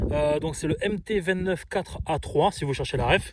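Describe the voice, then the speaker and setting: Noticeable background noise accompanies a man with a fairly high pitch who talks at a fairly quick pace with ordinary pitch variation. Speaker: storm chaser vlogger. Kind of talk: outdoor vlog, gear tutorial. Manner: fast; casual, many hesitations.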